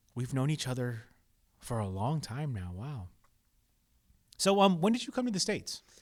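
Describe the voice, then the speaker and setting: Using an American accent, a man of medium pitch talks at a moderate pace with very wide pitch swings and long, frequent pauses. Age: 30s. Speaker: podcast host. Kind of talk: casual chat. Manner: animated.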